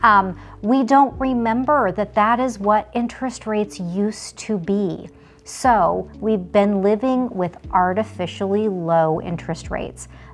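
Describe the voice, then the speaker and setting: Using a plain, everyday voice, a woman with an American accent speaks fairly slowly at a medium pitch. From Las Vegas, Nevada. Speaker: realtor. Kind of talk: casual vlog talk to camera. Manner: conversational.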